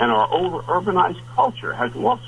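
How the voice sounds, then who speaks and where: There is noticeable background noise as a man talks. He keeps a fairly quick pace. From New Jersey, US. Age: 70s. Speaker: wilderness trapper and guide. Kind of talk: radio interview. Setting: two-way radio from remote cabin.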